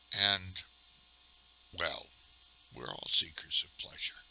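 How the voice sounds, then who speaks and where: The speaker has an American accent, heard over noticeable background noise. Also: man. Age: 60s. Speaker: retired gamer vlogger. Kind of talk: casual monologue. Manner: halting.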